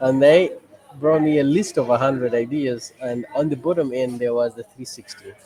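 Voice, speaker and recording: A man's medium-pitched voice at a moderate pace, with fairly even intonation, big swings in loudness and noticeable background noise. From Uganda, Kampala. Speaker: photo booth business owner and NGO head. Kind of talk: casual interview. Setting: video call from a cafe.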